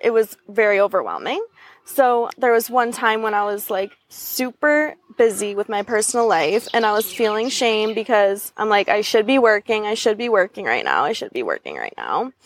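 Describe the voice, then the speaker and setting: In a Western New York accent, a woman with a fairly high pitch talks at a moderate pace with fairly even intonation, the sound dry and close with no echo. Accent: American, Western New York. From Buffalo, New York. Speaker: brand designer. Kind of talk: interview. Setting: outdoors on a park bench.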